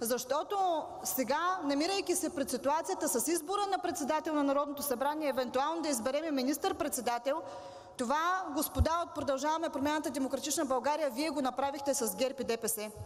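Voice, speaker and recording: A woman speaks with a high pitch at a moderate pace. Her pitch variation is ordinary. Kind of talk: parliamentary speech. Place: hall. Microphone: podium.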